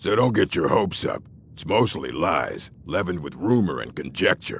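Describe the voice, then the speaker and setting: Using a put-on character voice, this man talks at a moderate pace. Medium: video game. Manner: gruff, blunt.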